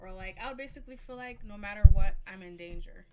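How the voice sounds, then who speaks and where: Audible room echo surrounds a woman who speaks at a fairly quick pace with fairly even intonation. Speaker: streamer. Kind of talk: casual chat.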